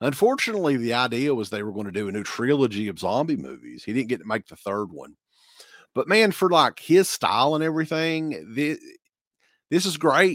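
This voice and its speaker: A man with an Appalachian accent, fairly high in pitch and fairly quick, with very wide pitch swings and big swings in loudness, on a very clean recording over a silent background. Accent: Appalachian Southern US. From eastern Kentucky. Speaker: horror podcast host. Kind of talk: casual chat.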